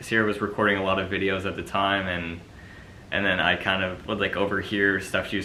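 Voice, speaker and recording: A man's very deep, low voice in a Canadian accent, monotone and flat, with audible room echo. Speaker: pageant commentator, YouTuber's partner. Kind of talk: casual vlog monologue. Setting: sitting in front of a camera. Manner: halting, many fillers.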